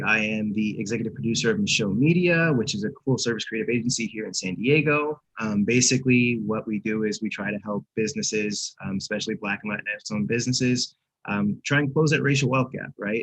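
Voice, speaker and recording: Speaking very fast with hardly any pauses, a man uses a medium pitch and lively intonation. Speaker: creative agency producer, guest speaker. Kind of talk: presentation. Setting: video call. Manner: casual, unconventional.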